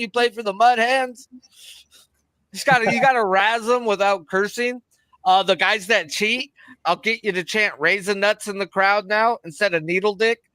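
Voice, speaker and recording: In a dry, close recording with no echo, a man projects a raised voice at a high pitch, his tone bright and sharp, moving at a moderate pace with ordinary pitch variation. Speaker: sports betting stream co-host. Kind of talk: casual chat. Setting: live stream. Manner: loud; animated.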